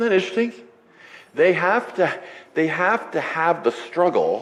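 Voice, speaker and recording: A man speaks over noticeable background noise. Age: 60s. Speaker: pastor. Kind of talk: sermon. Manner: casual, halting with repetitions.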